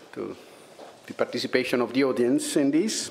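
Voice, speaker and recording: A man with an Italian accent. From Italy. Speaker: public prosecutor, head of EU anti-fraud office. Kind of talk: conference talk. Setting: conference with audience. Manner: halting, many fillers.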